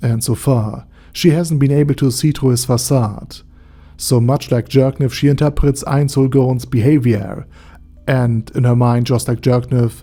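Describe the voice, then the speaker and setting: A man's medium-pitched, somewhat breathy voice, dark and mellow in tone, at a fairly slow pace with very even loudness. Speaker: anime lore YouTuber. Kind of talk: video essay narration.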